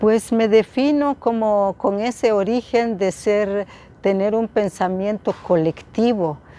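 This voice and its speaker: A woman's dark, mellow voice, fairly high-pitched, with ordinary pitch variation at a very slow pace. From Guatemala, Quetzaltenango highlands. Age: 70s. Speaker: politician. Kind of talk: interview. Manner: halting.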